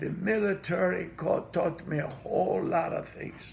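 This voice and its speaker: A man speaks at a fairly slow pace with a Greek accent. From Greece. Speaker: immigrant interviewee. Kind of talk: interview.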